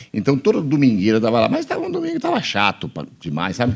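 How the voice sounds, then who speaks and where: This is a man speaking. He talks at a very fast pace. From Bahia, Brazil. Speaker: pastor. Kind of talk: interview testimony. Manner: casual, conversational.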